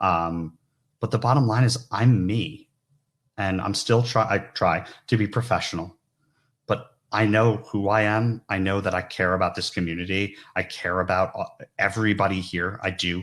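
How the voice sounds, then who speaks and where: Speaking with fairly even intonation, a man in a New York accent has a fairly low-pitched voice. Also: moderate pace, very clean recording, silent background. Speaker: recruiter, conference keynote speaker. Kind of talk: keynote talk. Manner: loud.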